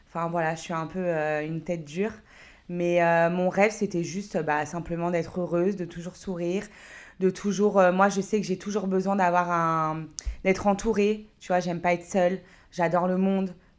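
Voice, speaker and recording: On a very clean recording with a silent background, a woman with a fairly low pitch speaks at a moderate pace in a monotone, flat intonation. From France, Paris region (Créteil). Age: 30s. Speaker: entrepreneur and mother. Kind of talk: podcast interview. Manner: hesitant, many fillers.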